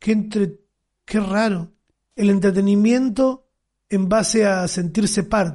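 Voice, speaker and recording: Delivered at a very slow pace with long, frequent pauses, the voice has a dark, mellow tone, fairly even intonation and very even loudness. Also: man, high pitch for a man. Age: 30s. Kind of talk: casual chat.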